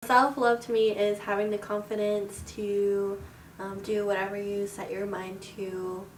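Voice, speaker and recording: A woman speaking fairly slowly in a flat monotone, with audible room echo and noticeable background noise. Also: medium pitch for a woman. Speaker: student interviewee. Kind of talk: personal testimony. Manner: soft-spoken.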